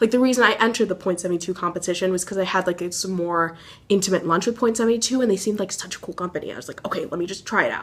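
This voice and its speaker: This woman talks at a very fast pace with medium pitch and ordinary pitch variation. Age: young. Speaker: college student vlogger. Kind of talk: casual vlog.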